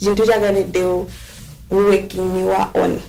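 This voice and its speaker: A woman is heard talking through noticeable background noise. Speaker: social media advocate. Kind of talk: podcast discussion. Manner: loud.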